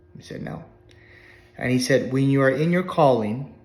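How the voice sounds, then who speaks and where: There is audible room echo as a man with a fairly high pitch speaks at a moderate pace. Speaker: life coach. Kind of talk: testimony. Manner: casual, conversational.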